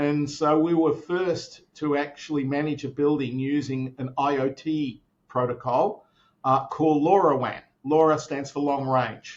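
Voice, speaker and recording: A man's fairly high-pitched voice with an Australian accent, a fairly slow pace and fairly even intonation. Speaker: tech company founder. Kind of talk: interview. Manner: many fillers and repetitions.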